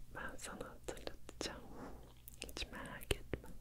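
A woman's fairly slow whisper in a soothing tone. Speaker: ASMR creator. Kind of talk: ASMR sleep and relaxation session with affirmations. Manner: close whispered, soothing. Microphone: studio mic.

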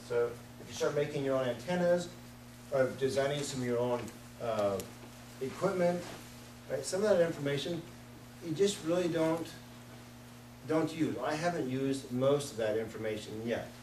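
Audible room echo surrounds a slightly mellow tone with ordinary pitch variation. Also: man, medium pitch for a man, moderate pace.

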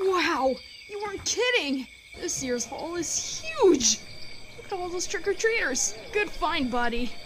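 Putting on a character voice, a woman speaks at a fairly slow pace with an extremely high pitch, big pitch swings and a fairly bright tone over faint background noise.

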